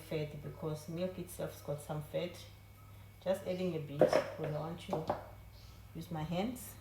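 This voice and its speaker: There is noticeable background noise behind the speaker. A woman talks at a fairly slow pace. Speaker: home baking video host. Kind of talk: cooking tutorial. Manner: trying to talk low. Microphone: no microphone, camera audio.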